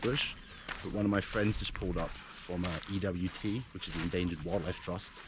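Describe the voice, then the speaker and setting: A man talks fairly quickly while noticeable background noise carries on behind him. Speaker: special forces veteran turned wildlife conservationist vlogger. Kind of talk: outdoor vlog. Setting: outdoors in the bush. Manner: loud and clear.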